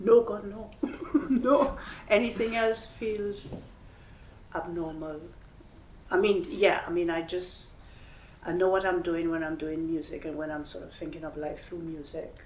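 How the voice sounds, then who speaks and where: A woman's fairly slow speech with long, frequent pauses and big swings in loudness, plus audible room echo and noticeable background noise. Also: medium pitch for a woman, ordinary pitch variation. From Trinidad. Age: old. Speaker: composer and musician. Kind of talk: onstage interview conversation. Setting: gallery with live audience.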